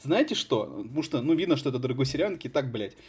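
A man's animated, somewhat breathy voice. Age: 20s. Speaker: podcast host. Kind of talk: casual chat.

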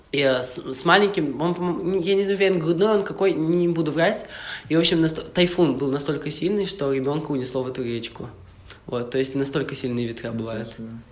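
Room echo and noticeable background noise surround a man talking at a fairly quick pace. His pitch is fairly high, with ordinary variation. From Russian Far East, Vladivostok. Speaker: university student. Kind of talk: casual chat.

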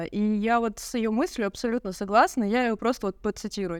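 A woman talks in a normal speaking voice at medium pitch with fairly even intonation. The recording is very clean with a silent background. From Russia, Yekaterinburg. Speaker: photographer and videographer. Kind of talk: casual chat.

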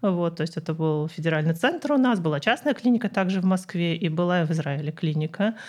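A woman's unremarkable speaking voice, fairly low in pitch, with lively intonation, a fairly quick pace and hardly any pauses, on a very clean recording with a silent background. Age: 30s. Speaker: physicist and cancer patient blogger. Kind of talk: interview.

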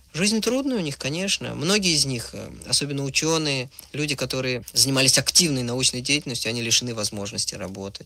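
A man talks at a fairly quick pace with a medium pitch. His tone is bright and sharp, and his intonation is lively. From Soviet Union, Moscow. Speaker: writer and screenwriter, recent emigrant. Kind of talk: radio interview.

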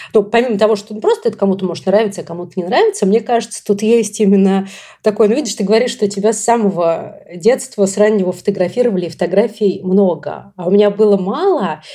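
Fairly quick speech comes in a dark, mellow tone. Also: woman. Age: 30s. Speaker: podcast host. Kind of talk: casual chat.

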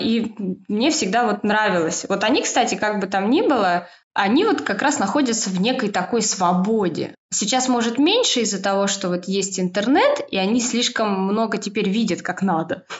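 A woman's fairly high, somewhat breathy voice at a very even loudness. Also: ordinary pitch variation, moderate pace. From Moscow, Russia. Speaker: stylist and knitwear consultant. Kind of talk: casual chat.

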